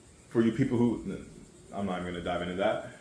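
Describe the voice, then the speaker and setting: Audible room echo surrounds a man as he speaks. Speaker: forex day trader, trading YouTuber. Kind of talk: casual screen-share tutorial. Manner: fast; casual, profane.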